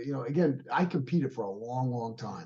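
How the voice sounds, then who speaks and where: A man's somewhat breathy, dark, mellow voice at a fairly quick pace. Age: 60s. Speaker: martial arts instructor and fitness trainer. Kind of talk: interview.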